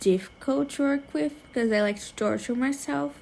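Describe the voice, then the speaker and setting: With a non-native accent, a woman speaks in a dark, mellow tone. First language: not English. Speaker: digital artist. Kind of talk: tutorial voiceover. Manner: casual, filler-heavy.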